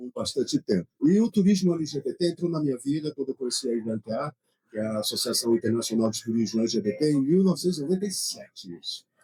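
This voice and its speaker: Fairly high-pitched and somewhat breathy, a man speaks at a very fast pace with very wide pitch swings. His tone is dark and mellow, and the sound is dry and close with no echo. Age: 60s. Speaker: tourism association director. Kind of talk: panel discussion. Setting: trade fair stand.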